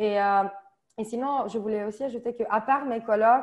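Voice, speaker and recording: Against a quiet background, a woman with a slight southern French accent speaks at a fairly high pitch and a moderate pace, her intonation fairly even. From Italy, Sicily. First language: Italian (speaking French). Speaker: volunteer. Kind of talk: testimony. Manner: halting.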